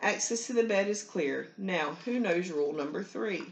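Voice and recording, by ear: Reading aloud in a natural voice, with lively intonation.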